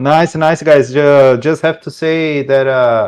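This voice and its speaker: A man with a Brazilian Portuguese accent speaks at a fairly slow pace with fairly even intonation. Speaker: sim racing driver. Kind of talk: post-race interview. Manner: halting.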